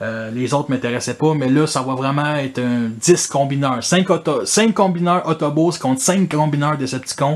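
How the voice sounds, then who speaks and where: A fairly high-pitched male voice with a Quebec accent. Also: ordinary pitch variation, moderate pace, hardly any pauses. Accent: Québécois French. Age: 30s. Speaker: toy collector YouTuber. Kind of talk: casual improvised monologue. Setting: in front of his toy collection. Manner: casual, filler-heavy.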